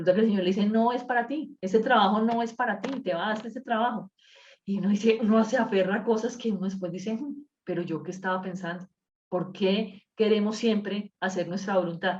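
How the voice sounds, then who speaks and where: A woman speaks at a fairly quick pace in a somewhat breathy voice with ordinary pitch variation. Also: medium pitch for a woman. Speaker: Bible study teacher. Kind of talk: Bible study class. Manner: fast; uses filler words.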